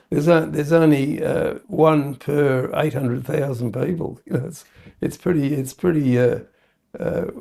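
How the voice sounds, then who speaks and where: The speaker has an Australian accent and a dark, mellow tone with vocal fry. The pace is moderate and the intonation fairly even. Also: man, fairly high pitch for a man. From Perth, Western Australia. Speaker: entrepreneur, company founder. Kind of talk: interview answer. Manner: hesitant, many fillers.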